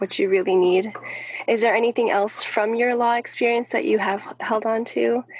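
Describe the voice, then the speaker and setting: A woman speaks at a fairly high pitch with monotone, flat intonation and very even loudness. Noticeable background noise runs underneath. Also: moderate pace. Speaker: podcast host. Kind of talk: casual interview.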